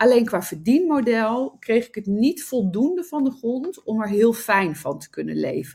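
Delivered at a fairly slow pace, the speech shows very wide pitch swings. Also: woman. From Netherlands, Nijmegen. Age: 40s. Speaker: entrepreneur and love coach. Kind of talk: interview. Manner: halting.

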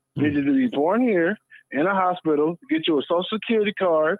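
A normal speaking voice carries lively intonation. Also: man. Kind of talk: opinionated casual debate.

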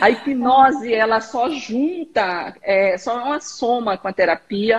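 A normal speaking voice carries lively intonation throughout. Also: woman. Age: 40s. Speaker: therapist and hypnotist. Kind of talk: casual chat on Instagram live. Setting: video call.

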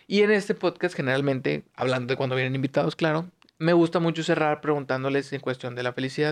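The man's fairly high voice rushes along at a very fast pace, the sound dry and close with no echo. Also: ordinary pitch variation. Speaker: podcast host. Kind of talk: casual interview.

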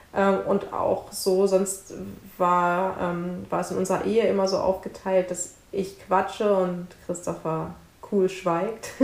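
A woman at a medium pitch, very slow and monotone, with flat intonation. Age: 30s. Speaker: author and social worker, mother. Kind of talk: interview.

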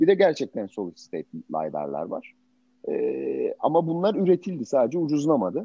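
A man's voice carries vocal fry. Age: 50s. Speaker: tech startup founder. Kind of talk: interview talk to students. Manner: halting.

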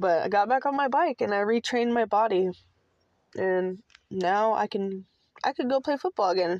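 A woman's medium-pitched voice with an American accent, very even loudness, ordinary pitch variation, and long, frequent pauses, in a dry, close sound with no echo. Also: moderate pace. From US Pacific Northwest, Seattle. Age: 30s. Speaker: podcast host. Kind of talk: personal monologue. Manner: casual, with frequent fillers.

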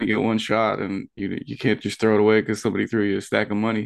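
A man talks fairly quickly in a fairly low pitch. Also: quiet background. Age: 30s. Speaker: wrestling commentator. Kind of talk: casual chat.

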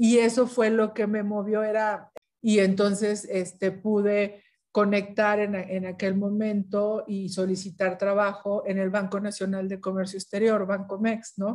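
A woman speaks at medium pitch and a fairly slow pace. Her intonation is monotone and flat. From northern Mexico, Ciudad Victoria, Tamaulipas. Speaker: UN environment official. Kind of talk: interview.

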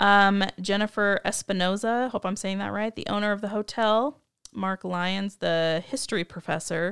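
At a moderate pace and with fairly even intonation, an unremarkable speaking voice comes through in a dry, close sound with no echo. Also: woman, medium pitch for a woman. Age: 30s. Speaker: podcast host. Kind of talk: casual chat.

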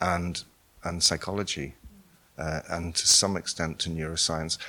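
In a Northern Irish accent, a man speaks at a very deep, low pitch with a bright, sharp tone. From Northern Ireland. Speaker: artist. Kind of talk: interview.

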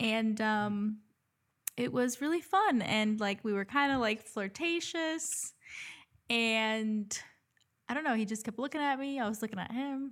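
A woman at a fairly slow pace, with long, frequent pauses and ordinary pitch variation, on a very clean recording with a silent background. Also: fairly high pitch for a woman. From Dominican family, US. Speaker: nurse, podcast co-host. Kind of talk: casual chat.

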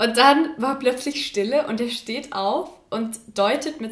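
Speaking at a very slow pace with a slight Saxon accent, a woman uses a high pitch and lively intonation. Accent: barely noticeable Saxon. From Saxony, Chemnitz. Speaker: university student, podcast co-host. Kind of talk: casual chat.

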